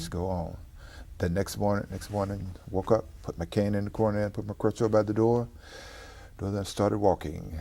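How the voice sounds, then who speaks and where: A man with an American accent speaks at a fairly low pitch with a dark, mellow tone. His moderate pace and fairly even intonation come through on a very clean recording with a silent background. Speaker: former professional basketball player. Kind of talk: interview answer, personal testimony.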